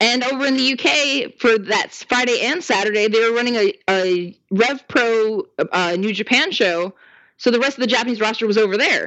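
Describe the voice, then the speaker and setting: A woman's normal speaking voice, fairly high in pitch, with lively intonation at a moderate pace. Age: 30s. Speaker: wrestling fan guest. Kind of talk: casual chat.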